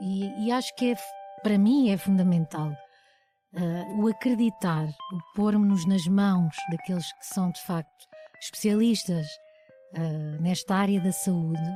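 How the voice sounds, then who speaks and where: A woman speaks at a fairly slow pace with ordinary pitch variation and long, frequent pauses, as music plays in the background. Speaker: singer and actress. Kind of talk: podcast interview answer.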